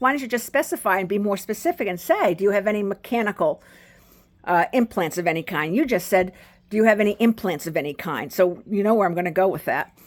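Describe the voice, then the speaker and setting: A woman talks at a fairly quick pace with lively intonation and a medium pitch in an unremarkable speaking voice. The recording is very clean, with a silent background. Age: 60s. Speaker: video blogger. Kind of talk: personal storytelling monologue.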